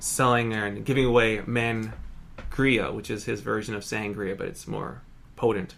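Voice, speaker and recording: A man speaks at a medium pitch. There is audible echo in the room. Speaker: hypnotist and entertainer. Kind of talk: casual chat. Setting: front porch. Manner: fast.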